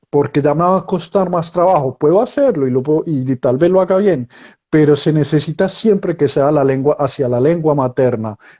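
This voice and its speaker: At a moderate pace, a man speaks with a fairly high pitch, ordinary pitch variation and very even loudness. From Colombia. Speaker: writer and journalist. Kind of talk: interview. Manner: halting.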